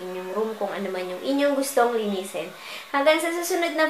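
A woman's voice with audible room echo. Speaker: home vlogger. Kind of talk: casual vlog chat. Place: home room. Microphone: phone near.

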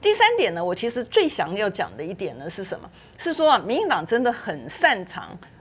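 Speaking at a fairly quick pace, a woman gets through her words. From Taiwan. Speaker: legislator; TV panel commentator. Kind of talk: political talk show panel. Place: studio. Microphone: lapel.

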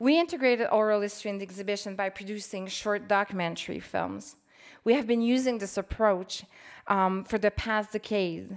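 Fairly quick woman's voice with a Quebec accent over a quiet background. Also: medium pitch for a woman, ordinary pitch variation. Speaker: museum curator. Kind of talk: conference presentation. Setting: stage with audience. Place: hall. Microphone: podium.

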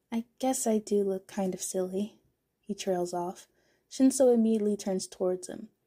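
A quiet background behind plain reading aloud

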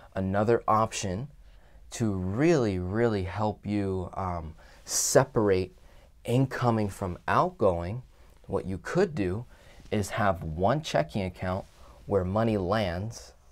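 A man at a fairly low pitch, very slow in pace, with ordinary pitch variation. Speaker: finance educator. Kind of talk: lecture. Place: office.

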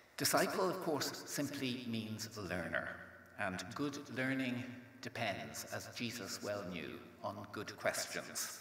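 A man speaking at a very slow pace, with audible room echo. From Ireland. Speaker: theology professor. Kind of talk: lecture. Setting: stage with audience. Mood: calm, reflective, warm. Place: hall. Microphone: podium.

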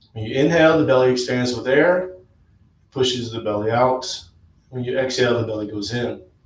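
A somewhat breathy man speaks at a moderate pace with ordinary pitch variation. Room echo is audible. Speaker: yoga instructor. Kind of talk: guided yoga class with talk. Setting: live stream. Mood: calm, soothing. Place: home room. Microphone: camera far.

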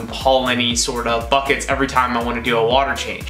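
Recorded with audible room echo and faint music in the background, a man speaks at a moderate pace. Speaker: hobby vlogger. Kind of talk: casual vlog chat. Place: office.

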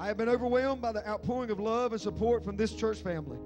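A man talks at a fairly quick pace while clear music plays behind him. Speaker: pastor. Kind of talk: sermon. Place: church. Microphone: handheld.

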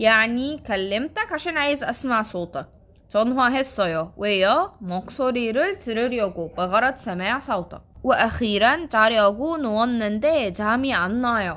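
A woman with an Egyptian accent and a fairly high pitch speaks in a bright, sharp tone with lively intonation. She keeps a moderate pace with hardly any pauses. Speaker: Korean language teacher. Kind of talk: tutorial.

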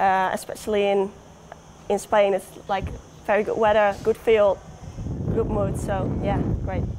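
With a Dutch accent, a woman speaks at medium pitch and moderate pace in a monotone, flat way, leaving long, frequent pauses over light background noise. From Netherlands. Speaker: professional football goalkeeper. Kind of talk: interview. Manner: hesitant. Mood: relaxed, cheerful. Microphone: lapel.

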